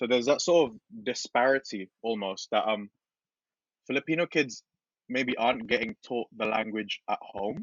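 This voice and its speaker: Speaking at a moderate pace, a man with a British accent uses a medium pitch and ordinary pitch variation. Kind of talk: casual chat. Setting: podcast recording.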